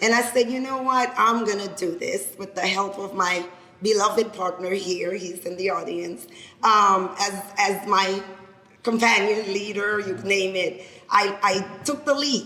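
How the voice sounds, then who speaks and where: In a Haitian accent, a woman speaks at a fairly slow pace and medium pitch with ordinary pitch variation. Noticeable background noise and audible room echo are present. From Haiti, Cap-Haitien. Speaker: lawyer and business founder. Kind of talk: speech to an audience. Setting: event with live audience.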